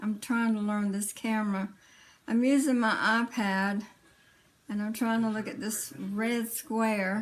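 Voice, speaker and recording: In a Southern US accent, a woman speaks at a fairly slow pace with a fairly high pitch and a somewhat breathy quality, on a very clean recording with a silent background. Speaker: vlogger sharing health story. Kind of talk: personal vlog testimony. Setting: indoors, iPad camera. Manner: halting, many fillers.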